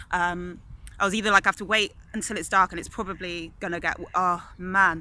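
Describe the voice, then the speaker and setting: Delivered at a fairly quick pace, the speech comes through on a very clean recording with a silent background. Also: woman. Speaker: vlogger. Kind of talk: casual storytelling vlog. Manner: fast; animated.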